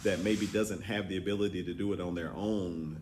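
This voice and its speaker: Audible room echo surrounds a man who speaks at a moderate pace with a fairly low pitch and ordinary pitch variation. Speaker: state representative. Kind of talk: answering questions at a public forum. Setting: business roundtable with audience.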